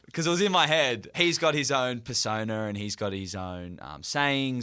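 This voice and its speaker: Here a man talks fairly quickly with an Australian accent. His tone is bright and sharp, with lively intonation. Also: very clean recording, silent background. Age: 20s. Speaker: podcast co-host. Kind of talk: casual chat.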